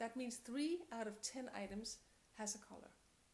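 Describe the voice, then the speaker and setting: Spoken at a moderate pace with a Danish accent, the voice shows ordinary pitch variation. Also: woman. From Denmark. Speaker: interior designer and house coach. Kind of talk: tutorial. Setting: at home.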